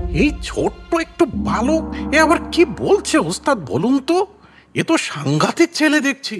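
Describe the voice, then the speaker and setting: Faint music plays behind a cartoonish character voice that moves at a moderate pace. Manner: brash.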